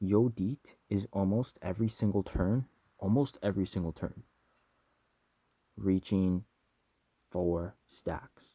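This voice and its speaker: A man's dark, mellow voice, dry and close with no echo, broken by long, frequent pauses. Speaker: gaming YouTuber. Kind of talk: game review commentary. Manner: fast; animated.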